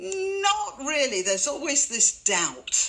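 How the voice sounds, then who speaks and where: A woman with a British accent at a fairly slow pace, very wide pitch swings, noticeable background noise behind her. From Britain. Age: old. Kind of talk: commentary to camera. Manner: tongue in cheek.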